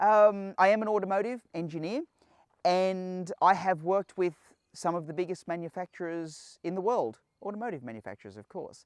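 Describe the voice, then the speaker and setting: A man with an Australian accent talks at a fairly quick pace in a high voice, with ordinary pitch variation and big swings in loudness. The recording is very clean with a silent background, and the sound is dry and close with no echo. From Australia, Sydney. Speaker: automotive engineer, channel host. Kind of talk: casual channel introduction.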